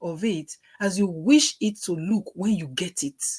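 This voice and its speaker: A somewhat breathy woman's voice with a strong Nigerian accent. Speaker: working mother. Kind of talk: book reading with commentary.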